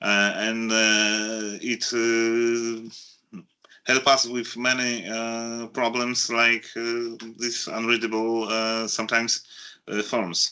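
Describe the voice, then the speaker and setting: A man's medium-pitched voice has a bright, sharp tone, monotone, flat intonation and a very slow pace. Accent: non-native. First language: not English. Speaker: audience member. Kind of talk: audience Q&A. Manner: halting, many hesitations.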